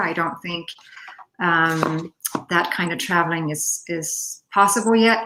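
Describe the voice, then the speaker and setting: With a Finnish accent, a woman speaks at a moderate pace, her fairly low pitch showing ordinary variation. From Denmark. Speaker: poet. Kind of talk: Q&A discussion. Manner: halting.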